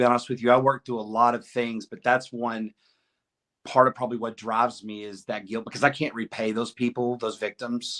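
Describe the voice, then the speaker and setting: A man with a Southern US accent, medium pitch, a fairly quick pace, monotone flat intonation and big swings in loudness. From Arkansas. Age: 50s. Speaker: podcast guest, former prisoner. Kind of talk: interview answer.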